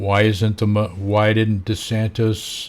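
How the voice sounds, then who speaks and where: With an American accent, a man speaks at a fairly low pitch in a somewhat breathy voice. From Florida, USA. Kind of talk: casual talk to camera.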